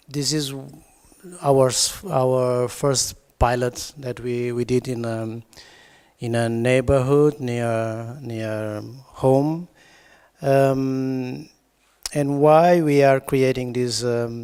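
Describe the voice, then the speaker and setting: Speaking very slowly with long, frequent pauses, a man with a non-native accent uses fairly even intonation, a medium pitch and a dark, mellow tone. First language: not English. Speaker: designer and researcher. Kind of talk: conference presentation read from notes. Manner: halting, hesitant.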